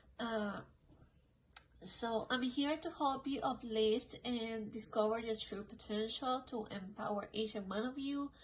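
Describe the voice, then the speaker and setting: Using a non-native accent, a woman with a fairly high pitch talks at a fairly slow pace with fairly even intonation. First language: not English. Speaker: tarot card reader. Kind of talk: tarot reading monologue. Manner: casual, filler-heavy.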